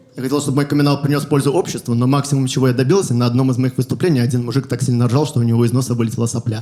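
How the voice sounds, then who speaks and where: Over noticeable background noise, a man talks at medium pitch and a very fast pace. His intonation is fairly even, with hardly any pauses. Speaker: stand-up comedian. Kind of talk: stand-up.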